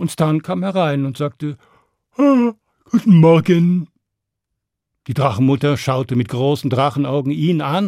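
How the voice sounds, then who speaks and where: This voice has a dark, mellow tone and lively intonation, moving at a fairly slow pace with long, frequent pauses. The recording is very clean, with a silent background. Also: man, fairly high pitch for a man. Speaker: storyteller. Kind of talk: fairy tale narration for children, told aloud. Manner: animated, storytelling with character voices and suspense; direct, addressing listeners warmly.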